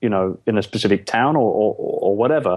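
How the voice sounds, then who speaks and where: The speaker is a man. He has an English accent. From London, England. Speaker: entrepreneur, outsourcing business owner. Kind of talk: interview.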